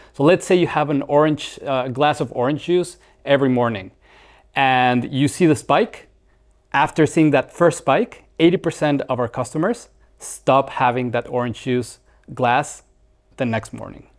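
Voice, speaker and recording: A man with a Mexican accent speaks at a fairly slow pace in a fairly high pitch, with ordinary pitch variation, against a quiet background. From Mexico. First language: Spanish. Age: 40s. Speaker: startup founder. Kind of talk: interview. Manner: halting. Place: studio. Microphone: lapel.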